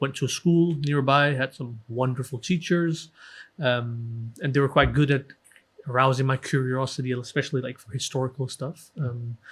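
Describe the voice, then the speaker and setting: Speaking at a moderate pace in a Danish accent, a man's somewhat breathy voice sits at a medium pitch with fairly even intonation. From Denmark. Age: 30s. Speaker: author and Sikh history researcher. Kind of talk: podcast interview.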